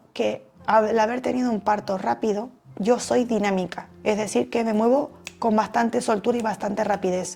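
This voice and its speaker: Noticeable background noise behind a woman with a fairly high pitch. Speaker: personal development youtuber. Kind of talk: talk to camera.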